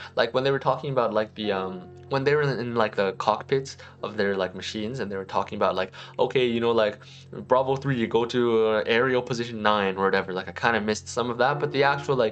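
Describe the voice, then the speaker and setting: With music in the background, a man talks very fast at a medium pitch with ordinary pitch variation. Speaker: anime YouTuber. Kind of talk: casual review monologue. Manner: rambling with many fillers.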